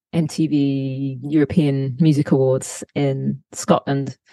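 A woman's very deep, low voice in an English accent, with a dark, mellow tone and a dry, close sound with no echo. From UK. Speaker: touring bass player. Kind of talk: interview. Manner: halting.

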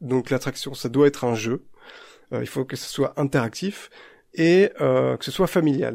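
Captured on a very clean recording with a silent background, a man speaks at a very slow pace with a fairly high pitch. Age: 40s. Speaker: podcast host. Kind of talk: casual chat.

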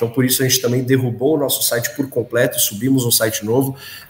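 A man speaks with music playing in the background. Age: 20s. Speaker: construction company executive. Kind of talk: business interview.

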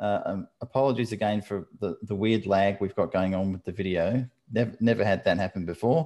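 A man with an Australian accent, his dark, mellow voice fairly low, ordinary in pitch variation, at a fairly quick pace with hardly any pauses, against a quiet background. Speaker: podcast host. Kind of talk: casual interview.

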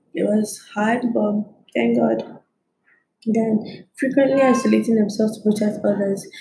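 Somewhat breathy with a dark, mellow tone, a woman with a fairly high pitch speaks at a fairly slow pace with fairly even intonation, very even loudness and long, frequent pauses. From Nigeria. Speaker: podcast host. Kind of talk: solo talk monologue.

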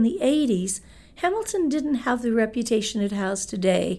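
In a Canadian accent and an ordinary speaking voice, the speaker moves at a moderate pace with lively intonation. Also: woman. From Manitoba, Canada (Winnipeg). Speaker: real estate broker. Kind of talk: interview.

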